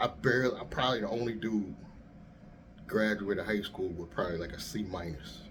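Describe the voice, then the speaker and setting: Audible room echo surrounds a man's fairly low, vocal-fry voice as he talks at a fairly quick pace with ordinary pitch variation. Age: middle-aged. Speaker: YouTuber and rideshare driver. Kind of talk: casual monologue. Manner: soft-spoken; easy-going.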